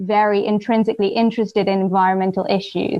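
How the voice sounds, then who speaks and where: In an English accent, a woman with a fairly high pitch speaks at a moderate pace. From southern England, Surrey. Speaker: PhD researcher. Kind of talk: interview conversation.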